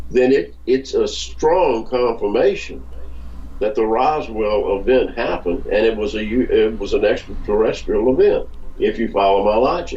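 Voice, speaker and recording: At a moderate pace, the voice comes through noticeable background noise and audible room echo. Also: man. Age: 70s. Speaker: author and researcher. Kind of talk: interview. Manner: halting.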